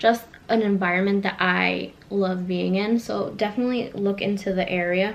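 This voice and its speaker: Over noticeable background noise, a woman speaks at medium pitch with monotone, flat intonation. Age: 20s. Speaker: vlogger. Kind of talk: casual vlog monologue. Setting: home living room. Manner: fast.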